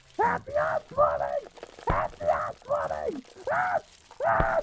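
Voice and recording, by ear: This put-on character voice has a fairly bright tone and very wide pitch swings. The pace is slow.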